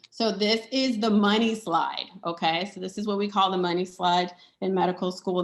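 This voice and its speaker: There is noticeable background noise as a woman speaks at a fairly quick pace with ordinary pitch variation. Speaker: doctor and conference speaker. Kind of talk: conference presentation. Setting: conference session with slides.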